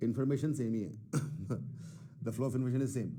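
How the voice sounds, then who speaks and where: A man's dark, mellow voice at medium pitch, with ordinary pitch variation and audible room echo. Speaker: math teacher. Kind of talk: online class lecture. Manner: Hindi-English code-switching; moderate pace, self-described not fast.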